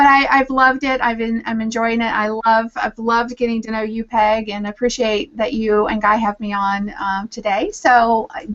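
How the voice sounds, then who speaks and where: This woman has a Southern US accent and a fairly high pitch. She speaks at a moderate pace with ordinary pitch variation. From Virginia, US South. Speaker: social media strategist and author. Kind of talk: casual interview chat. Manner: halting, many fillers.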